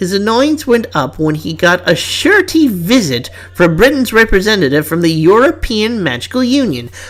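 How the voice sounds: This is a natural reading voice. The words are read aloud in it.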